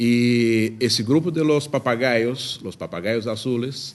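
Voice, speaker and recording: Speaking at a fairly slow pace, a man with a Brazilian accent uses medium pitch and ordinary pitch variation. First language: Portuguese (speaking Spanish). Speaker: ornithology expert. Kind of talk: lecture. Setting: lecture hall with audience. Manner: halting.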